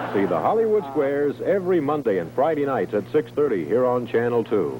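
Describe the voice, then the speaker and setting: Amid noticeable background noise, a man talks at a fairly quick pace in a medium pitch, with very wide pitch swings and very even loudness. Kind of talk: TV commercial / station promo announcer read.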